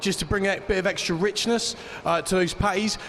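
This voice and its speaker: Over noticeable background noise, a man with a British accent speaks at a very fast pace and a high pitch, his intonation fairly even. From Great Britain. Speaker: competition chef. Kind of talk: dish presentation to judges.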